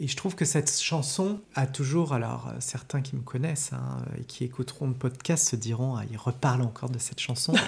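A man with a normal speaking voice talks at medium pitch with ordinary pitch variation. His moderate pace has hardly any pauses. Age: 40s. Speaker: film studies teacher. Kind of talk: casual chat. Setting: at his home.

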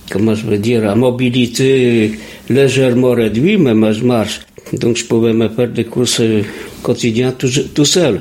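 The man speaks at medium pitch and a fairly slow pace. Noticeable background noise is heard. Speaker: retired printer, resident interviewee. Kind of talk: interview.

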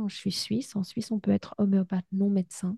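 At a moderate pace and medium pitch, a woman speaks in a monotone, flat way with a dark, mellow, somewhat breathy tone, and the sound is dry and close with no echo. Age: 50s. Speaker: psychologist and podcast host. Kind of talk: interview.

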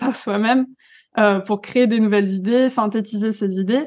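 A woman speaks in a plain, everyday voice at a fairly high pitch. Her pace is fairly slow and her intonation fairly even. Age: 20s. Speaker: digital wellbeing coach. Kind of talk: podcast interview.

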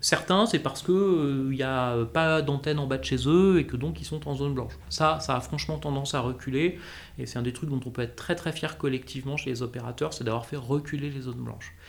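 At a fairly quick pace, a man speaks at a medium pitch with lively intonation. It is an ordinary speaking voice. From Corsica. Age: 40s. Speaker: communications director. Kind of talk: interview.

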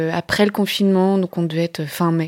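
A woman's medium-pitched voice holds a monotone, flat intonation on a very clean recording with a silent background. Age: 30s. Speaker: novelist. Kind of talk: personal testimony. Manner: halting.

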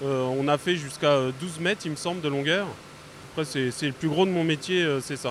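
This man talks at a fairly quick clip. Noticeable background noise fills the recording. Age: 30s. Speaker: sawmill worker. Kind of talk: interview.

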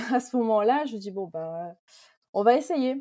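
In a very clean recording with a silent background, a woman speaks at a moderate pace in a dark, mellow tone with lively intonation. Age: 20s. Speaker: food brand founder. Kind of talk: casual interview, personal testimony. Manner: hesitant, many fillers.

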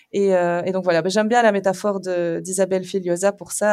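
A woman speaks at a moderate pace in a normal speaking voice with fairly even intonation. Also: very clean recording, silent background. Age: 30s. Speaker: mother of three, podcast guest. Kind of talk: casual chat.

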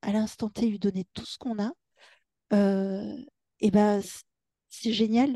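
A woman with a fairly high pitch and a dark, mellow tone comes through in a dry, close sound with no echo. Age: 40s. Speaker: hypnotherapist. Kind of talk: interview.

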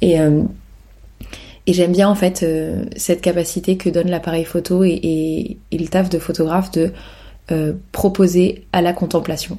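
A woman talks in a fairly low voice with a dark, mellow tone. Her intonation is monotone and flat. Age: 30s. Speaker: podcast host, photographer. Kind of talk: casual solo monologue. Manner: casual, hesitant with fillers.

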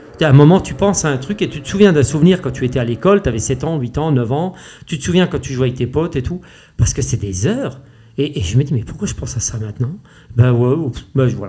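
Very fast and lively in intonation, a man speaks at a fairly high pitch with a dark, mellow tone and a somewhat breathy sound. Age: 50s. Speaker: race walker, athlete. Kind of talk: interview. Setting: face to face at host's home. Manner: animated, passionate.

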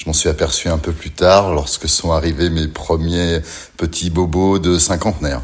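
Music plays in the background as a man speaks. His very deep, low pitch holds fairly even intonation. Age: 50s. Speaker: interviewee. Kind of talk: testimony.

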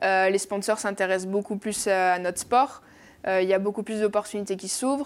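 A woman speaks at a medium pitch with ordinary pitch variation, on a very clean recording with a silent background. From French Basque coast (Bayonne). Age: young. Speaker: professional surfer. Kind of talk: casual interview.

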